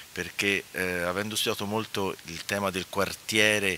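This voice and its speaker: In monotone, flat intonation, a man speaks with a dry sound with no echo and light background noise. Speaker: architect and urban planning historian, lecturer. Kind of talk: conference talk. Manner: soft-spoken; halting. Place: hall. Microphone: podium.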